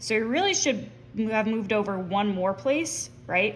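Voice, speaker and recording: Audible room echo surrounds a woman speaking at a moderate pace. Her medium-pitched voice has lively intonation. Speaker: math teacher. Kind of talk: tutorial. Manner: casual with fillers.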